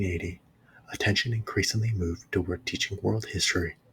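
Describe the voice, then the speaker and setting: A man whispers, soft-spoken and somewhat breathy. His pace is very fast. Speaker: ASMR channel host, history reader. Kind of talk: ASMR history reading, whispered and soft spoken. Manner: whispered and soft-spoken.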